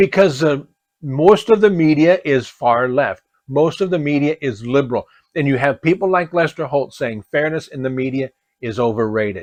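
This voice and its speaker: Over a quiet background, with a dry, close sound and no echo, a man with an American accent speaks at a moderate pace in a fairly high pitch, using an animated tone and lively intonation. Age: 60s. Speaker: political commentator. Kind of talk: opinion rant.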